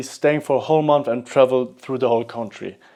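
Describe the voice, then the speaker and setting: Over a quiet background, a man talks with a German accent. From Germany. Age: 20s. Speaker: vlogger. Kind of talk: unscripted vlog monologue. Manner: halting, with repetitions.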